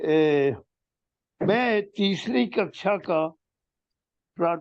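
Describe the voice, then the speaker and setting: Here a man speaks at a high pitch. His intonation is lively. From India, Uttar Pradesh. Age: 90s. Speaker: retired army officer. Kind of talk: reading aloud. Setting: interview. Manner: halting.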